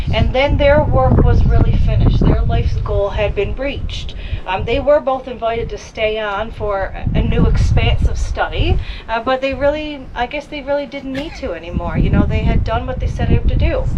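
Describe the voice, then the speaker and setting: At a moderate pace with hardly any pauses, the speech has audible room echo and noticeable background noise. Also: woman. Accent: strong Newfoundland. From Newfoundland (northern peninsula). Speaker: heritage site tour guide. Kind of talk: guided tour talk. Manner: animated.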